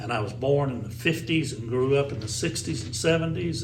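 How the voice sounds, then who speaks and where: A man with a Tennessee accent at a fairly quick pace, with audible room echo and noticeable background noise. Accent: Southern US (Tennessee). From US South, Tennessee (Sparta). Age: 60s. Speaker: former radio DJ and race track announcer. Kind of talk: casual interview storytelling. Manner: animated.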